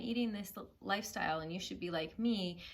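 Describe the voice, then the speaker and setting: A woman's somewhat breathy voice moves at a moderate pace with lively intonation. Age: 40s. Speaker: food and weight-loss vlogger. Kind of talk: personal heart-to-heart vlog. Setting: living room at home.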